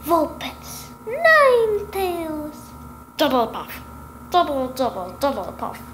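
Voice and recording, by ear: Over loud background noise, a woman does a cartoonish character voice at an extremely high pitch and a fairly slow pace.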